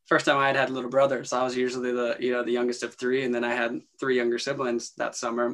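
Here a man speaks with an American accent. His intonation is monotone and flat. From Western North Carolina (Morganton). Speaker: filmmaker and producer. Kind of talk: casual interview. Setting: video call.

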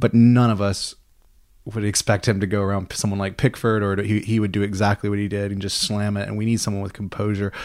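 Very fast and monotone, a man speaks at a fairly low pitch with an American accent. The recording is very clean, with a silent background. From US South, Mississippi. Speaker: football fan podcast panelist. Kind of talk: casual chat. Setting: living room.

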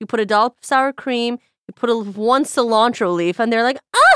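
At a moderate pace, a woman with a fairly high pitch speaks in an unremarkable speaking voice, with a dry, close sound and no echo. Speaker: chef, host's boss and friend. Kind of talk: casual chat. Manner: joking, playful.

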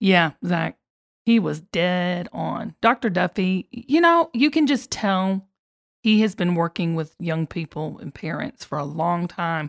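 In a Southern US accent, a woman speaks at a fairly slow pace and fairly low pitch with lively intonation, in a very clean recording with a silent background and a dry, close sound with no echo. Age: 50s. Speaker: podcast host. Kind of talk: casual chat. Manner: animated.

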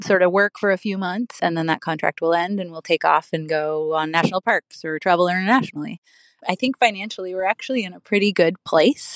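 A woman with a plain, everyday voice, medium in pitch, at a fairly quick pace with ordinary pitch variation, dry and close with no echo, against a quiet background. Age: 40s. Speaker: caller. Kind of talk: recorded voicemail question.

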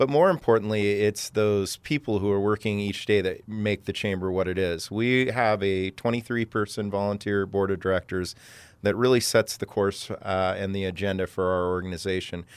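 In a normal speaking voice, a man keeps a moderate pace with hardly any pauses, fairly even intonation, and a fairly low pitch.

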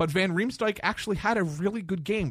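In a very clean recording with a silent background, a man speaks loudly. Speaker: sports radio co-host. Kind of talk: sports talk radio. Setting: radio studio. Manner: gets loud in rants.

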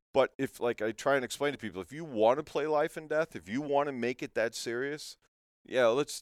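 An unremarkable speaking voice from a man with an American accent, fairly high in pitch, at a fairly quick pace with ordinary pitch variation. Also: dry, close sound with no echo. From Connecticut. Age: 40s. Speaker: custom fishing rod builder. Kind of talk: casual interview chat. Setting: in his workshop.

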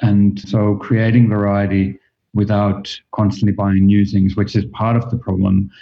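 This man speaks at a fairly slow pace in a fairly low pitch, with monotone, flat intonation and very even loudness. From Finland. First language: Finnish. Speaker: fashion design professor. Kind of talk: interview conversation.

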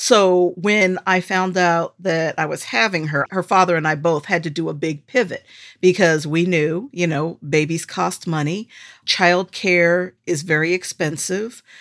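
At a fairly slow pace, a woman with an ordinary speaking voice talks in a fairly low pitch with ordinary pitch variation, in a very clean recording with a silent background. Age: 50s. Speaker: editor and mother. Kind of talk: interview testimony.

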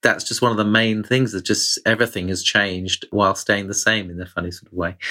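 In a very clean recording with a silent background, a man with a British accent speaks fairly quickly at a fairly low pitch, his tone bright and sharp and his intonation fairly even. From Britain. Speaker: foreign correspondent. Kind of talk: interview.

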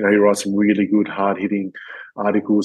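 Here is a man speaking at a fairly low pitch. He talks with an Australian accent. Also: quiet background. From Perth, Western Australia. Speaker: retired professional footballer. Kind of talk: interview conversation. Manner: halting, many fillers.

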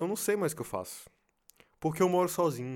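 In a very clean recording with a silent background, a man speaks at a high pitch with very wide pitch swings. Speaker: podcaster. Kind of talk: casual monologue. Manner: halting.

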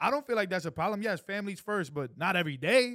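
On a very clean recording with a silent background, a man with a high pitch talks at a fairly quick pace with lively intonation. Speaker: podcast co-host. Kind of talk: heated debate. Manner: passionate.

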